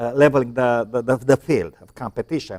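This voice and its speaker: With a Romanian accent, a man speaks at a fairly quick pace and fairly even intonation, the sound dry and close with no echo. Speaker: talk show host. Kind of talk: discussion panel. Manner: halting.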